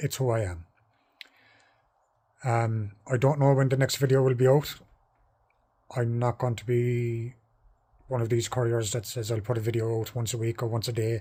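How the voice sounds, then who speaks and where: A somewhat breathy man with an Irish accent, a dark, mellow tone and medium pitch, speaking at a moderate pace with fairly even intonation and long, frequent pauses. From Ireland. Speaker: courier van driver. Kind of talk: vlog talking to camera. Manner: hesitant with pauses.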